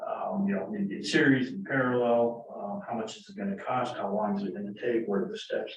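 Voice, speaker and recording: In a room with audible echo, a man of medium pitch talks at a fairly quick pace with hardly any pauses. His pitch swings very widely and his loudness varies greatly. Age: 60s. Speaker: board candidate, retired civil engineer. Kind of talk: public meeting Q&A. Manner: halting, many repetitions and fillers.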